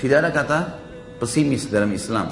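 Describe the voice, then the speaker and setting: A man's pitch rises and falls in an ordinary way. Background music is present. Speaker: Islamic preacher. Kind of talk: religious sermon.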